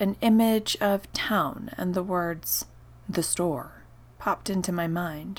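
The speaker uses an unforced reading voice.

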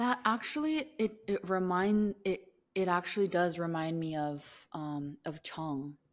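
A woman with an American accent speaks at a fairly slow pace in an ordinary speaking voice, her medium pitch carried by lively intonation. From US, Korean American. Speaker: podcast co-host. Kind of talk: casual chat.

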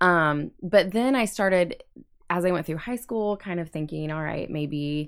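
A woman with an American accent and an ordinary speaking voice, fairly low in pitch, at a fairly slow pace with ordinary pitch variation, on a very clean recording with a silent background. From Indiana. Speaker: campus pastor. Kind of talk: casual interview. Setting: studio.

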